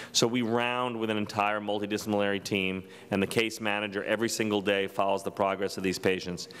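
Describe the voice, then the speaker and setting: An ordinary speaking voice from a man, fairly low in pitch, fairly quick, with fairly even intonation. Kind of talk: lecture. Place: hall. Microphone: podium.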